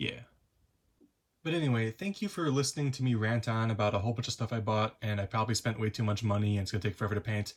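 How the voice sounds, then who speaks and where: On a very clean recording with a silent background, a somewhat breathy man speaks at a very fast pace and medium pitch, with ordinary pitch variation and very even loudness. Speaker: hobby YouTuber. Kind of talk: casual show-and-tell. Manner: hesitant, many fillers.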